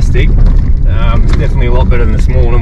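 Over loud background noise, a man talks at a very fast pace with dry sound and no echo. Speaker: travel vlogger driving. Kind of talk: casual vlog chat. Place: car. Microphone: phone near.

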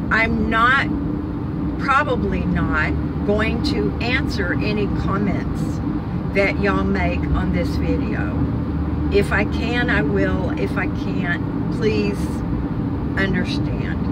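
Amid loud background noise, a woman speaks very slowly with long, frequent pauses in a dry sound with no echo. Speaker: vlogger. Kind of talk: casual vlog chat. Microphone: phone near.

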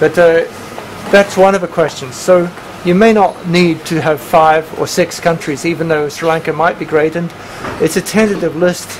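Fairly even intonation at a moderate pace, over light background noise. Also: man, high pitch for a man. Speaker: professor chairing a PhD proposal defense. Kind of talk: academic panel discussion. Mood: friendly, encouraging. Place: meeting room.

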